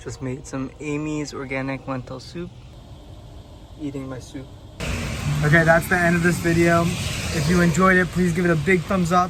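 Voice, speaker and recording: A man with an American accent and fairly high pitch at a moderate pace, with fairly even intonation, big swings in loudness, long, frequent pauses, audible room echo and noticeable background noise. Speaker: travel vlogger. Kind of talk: casual vlog.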